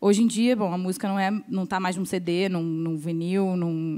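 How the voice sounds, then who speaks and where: A woman with an unremarkable speaking voice talks at a moderate pace with ordinary pitch variation in a very clean recording with a silent background. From Rio de Janeiro, Brazil. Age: 20s. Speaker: drummer. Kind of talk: panel discussion.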